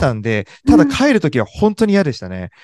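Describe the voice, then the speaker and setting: Over a quiet background, a man speaks at a very fast pace with high pitch and very wide pitch swings, in a dry, close sound with no echo. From Japan, Kanagawa (Sagamihara). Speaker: journalist. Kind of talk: interview.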